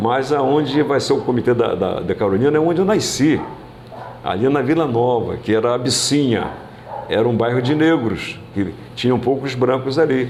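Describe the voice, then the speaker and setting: A man at a medium pitch and moderate pace, with ordinary pitch variation and very even loudness, plus noticeable background noise and audible room echo. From Brazil, Cabo Frio (Rio de Janeiro state). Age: 80s+. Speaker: former mayor, politician. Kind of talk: interview. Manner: halting, frequent repetitions.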